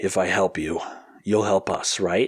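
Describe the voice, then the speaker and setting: A raspy, put-on character voice moves at a moderate pace. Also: man. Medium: read story.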